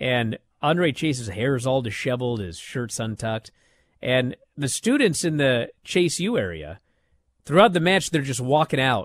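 A man talks in a plain, everyday voice with lively intonation. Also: medium pitch for a man, moderate pace, dry, close sound with no echo. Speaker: wrestling podcast host. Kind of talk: casual chat.

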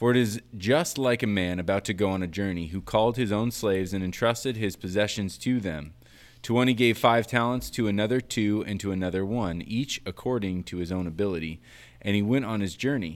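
On a very clean recording with a silent background, a man talks in a normal speaking voice at a fairly quick pace, fairly low in pitch with ordinary pitch variation. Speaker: podcast host and producer. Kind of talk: casual chat. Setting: in-person recording.

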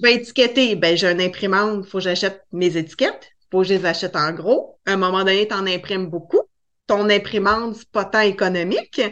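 In a Quebec accent, a woman speaks at medium pitch with fairly even intonation and big swings in loudness. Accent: Québécois French. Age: 40s. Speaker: cake design entrepreneur. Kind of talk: interview.

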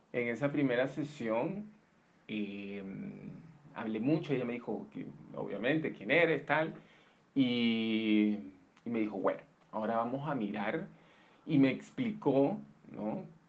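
With audible room echo around him, a man of medium pitch talks at a fairly slow pace with lively intonation and long, frequent pauses. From Colombia, Barranquilla (Caribbean coast). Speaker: interviewee sharing illness story. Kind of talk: personal testimony. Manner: halting, many repetitions and fillers.

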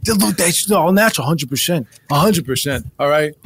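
Using a put-on character voice, a man speaks at a fairly high pitch and a fairly quick pace with lively intonation. His fairly bright tone has vocal fry and a slightly husky edge.

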